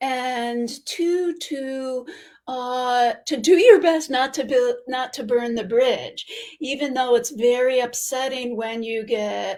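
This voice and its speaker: A woman talks at a very slow pace. Her pitch is high. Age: 60s. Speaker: private practice owner, coaching student. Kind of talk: interview on live video show. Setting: video call.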